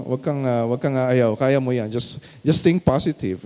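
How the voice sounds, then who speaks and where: The pace is moderate. The speaker is a man. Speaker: pastor, guest preacher. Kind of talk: sermon preaching to a congregation.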